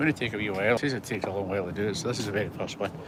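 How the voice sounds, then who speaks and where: A man talks at a very fast pace with a west of Scotland accent over noticeable background noise. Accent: west of Scotland Scottish. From Scotland, Coatbridge in Lanarkshire. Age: 60s. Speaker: vlogger. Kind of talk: casual walking vlog. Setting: outdoors, walking around a heritage park. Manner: chatty and rambling.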